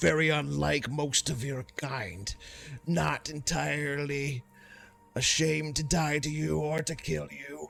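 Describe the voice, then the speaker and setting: Putting on a character voice, a man speaks fairly slowly at a fairly high pitch while faint music plays in the background. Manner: broken, halting speech.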